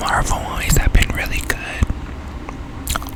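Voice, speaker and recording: A woman whispers with music playing in the background. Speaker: ASMR gaming content creator. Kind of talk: casual talk to camera. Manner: soft-spoken, whispered.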